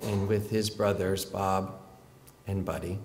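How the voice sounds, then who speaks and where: Over light background noise, a man with a somewhat breathy voice speaks at a fairly low pitch and a fairly slow pace. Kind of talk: eulogy. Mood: warm, fond, sometimes smiling. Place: church. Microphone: podium.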